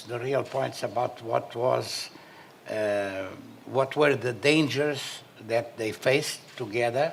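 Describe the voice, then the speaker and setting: At a very slow pace, a man speaks with a medium pitch and ordinary pitch variation over noticeable background noise. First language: Portuguese. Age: 70s. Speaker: panelist, son of a former national leader. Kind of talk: panel discussion. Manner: halting.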